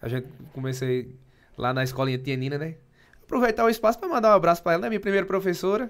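With very wide pitch swings, a man talks at a very fast pace broken by long, frequent pauses. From Pernambuco, Brazil. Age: 20s. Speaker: municipal finance secretary and businessman; podcast guest. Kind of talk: casual interview. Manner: halting, many repetitions. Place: studio. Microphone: studio mic.

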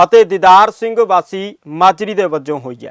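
A man speaks at a high pitch with ordinary pitch variation. The recording is very clean and close, dry with no echo and a silent background. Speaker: news anchor. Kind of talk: news reading, brisk bulletin delivery. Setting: studio.

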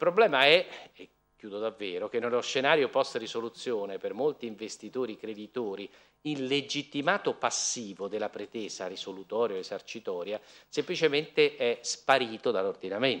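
This man talks at a moderate pace with lively intonation. Behind him the background is quiet. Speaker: law professor. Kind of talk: conference talk. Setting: lecture hall with audience. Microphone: podium.

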